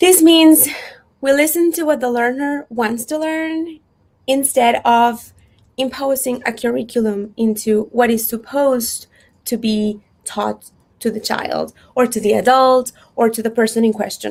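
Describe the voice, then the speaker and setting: This woman speaks with a Spanish accent. Her pitch is high and her pace fairly slow. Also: ordinary pitch variation. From Mexico. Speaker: unschooling advocate and photographer. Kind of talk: workshop talk. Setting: virtual event.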